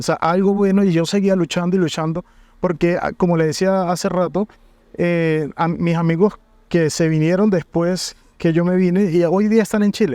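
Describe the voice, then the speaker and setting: At a moderate pace, a man with a high pitch and a dark, mellow tone keeps fairly even intonation and very even loudness. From Venezuela, Mérida state (El Vigía). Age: 40s. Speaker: university coordinator. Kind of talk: interview.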